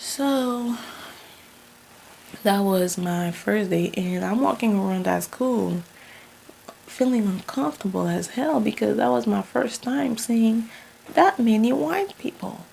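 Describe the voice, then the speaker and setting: A woman with a strong Haitian accent speaks very slowly, with long, frequent pauses, over noticeable background noise. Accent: Haitian accent, still thick. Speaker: vlogger. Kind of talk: casual storytelling vlog. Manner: animated.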